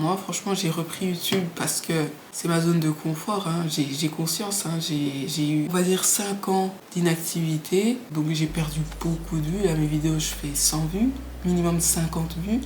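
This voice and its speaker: There is noticeable background noise and audible room echo. A woman talks fairly slowly at a fairly low pitch, with fairly even intonation. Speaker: YouTuber. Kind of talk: casual vlog monologue. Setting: small flat, home. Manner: halting, repeats words.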